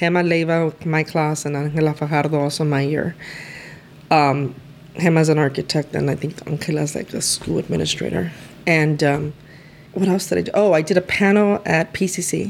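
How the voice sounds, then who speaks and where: This woman has a very deep, low pitch and a Spanish accent. She talks at a moderate pace with ordinary pitch variation. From East LA. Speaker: lawyer. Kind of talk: casual interview chat.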